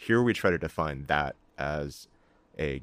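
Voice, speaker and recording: This man's voice sits very deep and low. Vocal fry runs through his speech. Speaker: video game narrative lead. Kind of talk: casual interview conversation.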